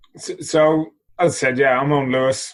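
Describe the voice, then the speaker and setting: This man has an Irish accent. He talks at a moderate pace with fairly even intonation. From Ireland, Dublin. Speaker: body transformation coach and author. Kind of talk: podcast interview.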